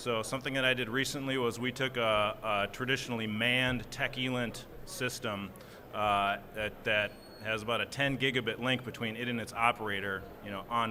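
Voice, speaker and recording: The speaker talks at a fairly quick pace with fairly even intonation, and audible room echo is present. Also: man. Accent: Minnesotan. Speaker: software engineer, panelist. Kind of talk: conference panel discussion.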